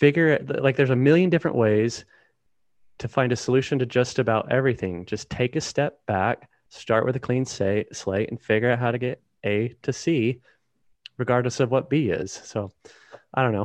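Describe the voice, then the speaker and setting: A man with an unremarkable speaking voice, medium pitch and ordinary pitch variation, against a quiet background. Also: moderate pace. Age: 30s. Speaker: author and search engine optimization business owner. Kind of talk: casual interview.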